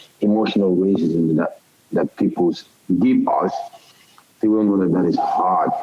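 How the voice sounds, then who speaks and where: Moderate-paced male speech against noticeable background noise. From Europe. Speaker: football head coach, host. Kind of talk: casual interview chat.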